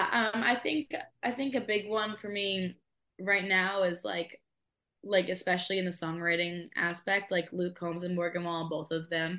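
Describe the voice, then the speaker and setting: A woman with an American accent speaks at medium pitch in a bright, sharp tone. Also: ordinary pitch variation, moderate pace. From Massachusetts. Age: 20s. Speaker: singer-songwriter. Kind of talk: casual interview chat.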